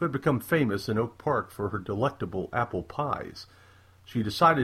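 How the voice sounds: The voice reads naturally. Its intonation is lively.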